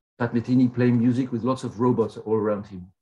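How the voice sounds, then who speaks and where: Music-free but with light background noise, a man speaks at a fairly quick pace and medium pitch. His voice is somewhat breathy, with a dark, mellow tone. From Belgium. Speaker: professor. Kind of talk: keynote lecture. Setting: video call.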